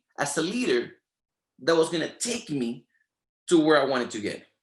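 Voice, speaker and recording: A man with a Spanish accent and lively intonation. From Latin America. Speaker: network marketing leader. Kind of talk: motivational training talk. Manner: animated.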